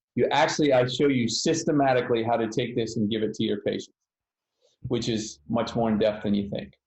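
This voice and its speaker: A somewhat breathy man at medium pitch, fairly quick pace, ordinary pitch variation. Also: long, frequent pauses. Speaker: physical therapy educator. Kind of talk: webinar.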